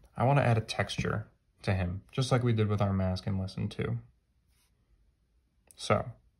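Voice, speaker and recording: Somewhat breathy and fairly low-pitched, a man speaks with fairly even intonation and long, frequent pauses. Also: moderate pace. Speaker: art teacher. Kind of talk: tutorial.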